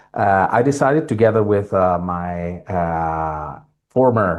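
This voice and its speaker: A man with an Italian accent and a very deep, low pitch, with ordinary pitch variation against a quiet background. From Italy. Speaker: tech company founder. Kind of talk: self-introduction in a webinar. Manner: hesitant, many fillers.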